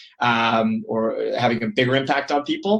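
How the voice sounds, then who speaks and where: This is a man speaking with a Toronto accent. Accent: Toronto Canadian. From Canada, Toronto. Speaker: periodontist. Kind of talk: casual interview chat.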